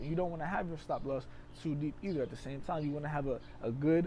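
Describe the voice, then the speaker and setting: At a very fast pace, a man with a fairly high pitch speaks in a dark, mellow, somewhat breathy tone with ordinary pitch variation. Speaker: trading educator. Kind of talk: tutorial.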